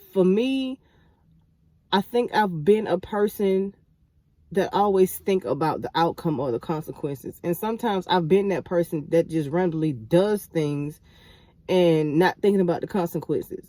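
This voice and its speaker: A woman with a medium-pitched, dark, mellow voice speaks at a moderate pace with long, frequent pauses, the sound dry and close with no echo. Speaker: holistic healing vlogger. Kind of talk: casual monologue vlog. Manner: halting, many fillers and repeats; voice quivers when emotional.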